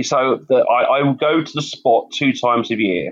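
Ordinary pitch variation in a London accent. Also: man. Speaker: campaigner and youth mentor. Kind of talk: interview. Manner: hesitant, repeats words.

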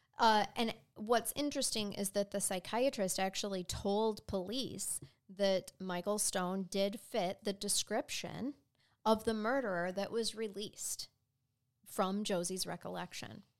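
A woman with an American accent speaks in a normal speaking voice of medium pitch. Her intonation is fairly even, and the recording is very clean with a silent background. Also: fairly slow pace. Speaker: true crime podcast co-host. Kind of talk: storytelling; casual chat.

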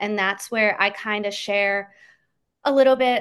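A plain, everyday voice comes through with an American accent at a moderate pace. The intonation stays fairly even against a quiet background. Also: woman. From Pennsylvania. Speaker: social media manager and former teacher. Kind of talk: interview about local travel tips.

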